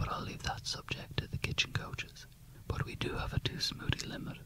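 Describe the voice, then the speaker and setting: Whispering in a soothing tone, a man talks at a fairly quick pace over noticeable background noise. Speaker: gym personal trainer character in roleplay. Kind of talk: ASMR roleplay, gym tour. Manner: whispered, soothing.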